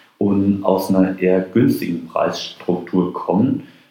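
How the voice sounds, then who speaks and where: A man speaks with a very deep, low pitch. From Rheinhessen, Germany. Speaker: wine marketing expert and lecturer. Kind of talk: interview. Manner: hesitant with fillers.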